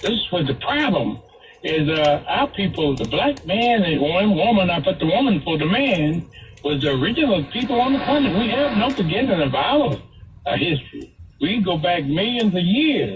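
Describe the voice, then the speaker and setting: A man speaks at a moderate pace in a high voice, with very wide pitch swings and very even loudness. Noticeable background noise sits behind him. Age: 80s+. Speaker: caller. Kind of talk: call-in radio talk.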